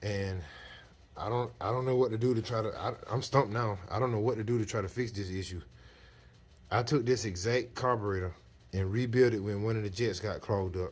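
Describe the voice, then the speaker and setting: Somewhat breathy male voice, fairly low in pitch, at a fairly quick pace with fairly even intonation. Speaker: mechanic. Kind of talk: casual vlog. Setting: auto shop. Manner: slurred, stumbling speech.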